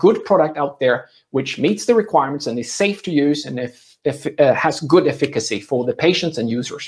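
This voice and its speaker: A man's somewhat breathy, fairly high voice with lively intonation at a fairly quick pace, over a quiet background. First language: not English. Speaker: medical device consultant and trainer; trainer. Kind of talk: conference presentation. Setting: virtual summit session. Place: home room.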